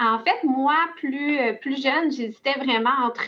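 A woman with a Quebec accent speaks at a high pitch with ordinary pitch variation. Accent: Québécois French. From Quebec, Laurentides. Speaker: family lawyer. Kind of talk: interview.

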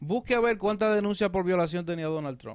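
This man's voice runs high, and his intonation is lively. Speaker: pastor and political commentator. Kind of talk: political commentary.

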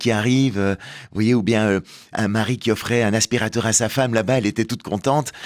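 A man with a plain, everyday voice at a fairly quick pace, on a very clean recording with a silent background. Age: 50s. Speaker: author and stage performer. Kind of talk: radio interview.

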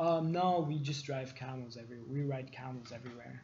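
Somewhat breathy and dark, mellow in tone, a man speaks at a moderate pace with ordinary pitch variation. Room echo is audible. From Lebanon. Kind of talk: casual chat.

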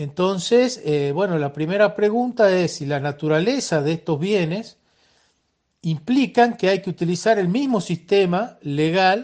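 A high-pitched male voice at a fairly slow pace, with lively intonation. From Argentina, Salta. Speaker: software engineer. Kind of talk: recorded voice messages answering interview questions.

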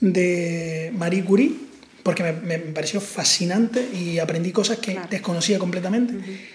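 In a Canarian accent, a man speaks at a moderate pace and high pitch with ordinary pitch variation, amid noticeable background noise and audible room echo. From Canary Islands. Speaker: podcast host. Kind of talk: casual chat.

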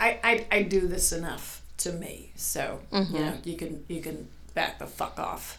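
A woman's put-on character voice, growling and fairly low-pitched, at a fairly slow pace. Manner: snarling, aggressive, warning.

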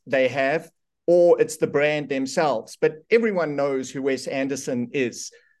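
Against a quiet background, a man talks in a plain, everyday voice. His pitch is fairly high and his pace fairly slow. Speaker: interviewer, host of an AI tools show. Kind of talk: casual interview chat. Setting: video call.

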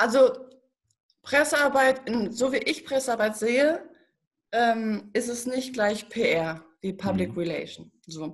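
A woman with a fairly high pitch and lively intonation at a very slow pace, with long, frequent pauses. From Germany, Paderborn area (Westphalia). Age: 30s. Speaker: journalist and press consultant. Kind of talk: podcast interview.

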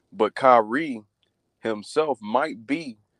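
Here a man speaks at a medium pitch with an American accent. The sound is dry and close, with no echo. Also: quiet background. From US South (the Carolinas). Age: 20s. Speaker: sports commentator. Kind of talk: casual sports debate. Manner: animated.

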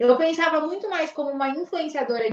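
Very wide pitch swings mark this voice, which moves at a fairly quick pace. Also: woman. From Bragança Paulista, interior of São Paulo, Brazil. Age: 20s. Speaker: fashion entrepreneur. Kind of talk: casual interview chat.

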